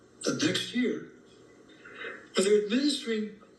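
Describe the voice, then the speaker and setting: A man speaks with audible room echo around him. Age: 70s. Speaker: health educator. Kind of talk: interview.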